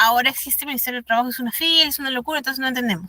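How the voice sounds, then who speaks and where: Her voice high-pitched, bright and sharp, a woman speaks with lively intonation in a dry, close sound with no echo. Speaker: instructor in labor law course. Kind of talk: online lecture. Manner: fast; animated.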